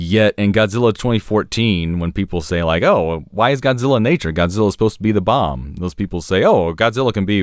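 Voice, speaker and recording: Over a very clean recording with a silent background, a man speaks at a fairly quick pace. His fairly low, normal speaking voice has lively intonation. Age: 30s. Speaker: podcast guest and mecha fan. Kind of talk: casual chat.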